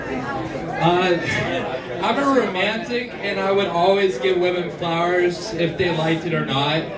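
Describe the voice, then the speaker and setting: Someone speaks at a very slow pace as crowd noise carries in the background. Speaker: stand-up comedian. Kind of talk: stand-up comedy set of scripted-sounding jokes and punchlines. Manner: casual, hesitant, filler words like uh and um. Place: stage.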